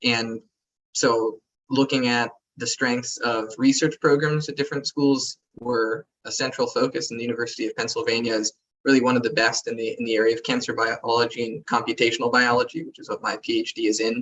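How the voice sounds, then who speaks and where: An unremarkable speaking voice from a man with an American accent, medium pitch, fairly even intonation and a fairly quick pace. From US West Coast (San Diego). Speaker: MD-PhD student. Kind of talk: panel Q&A.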